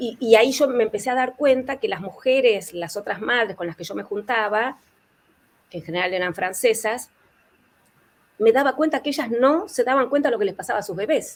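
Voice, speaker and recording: In a normal speaking voice, a woman talks at a fairly quick pace and a fairly high pitch, with lively intonation and big swings in loudness. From Argentina. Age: 60s. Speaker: therapist and author. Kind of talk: panel interview.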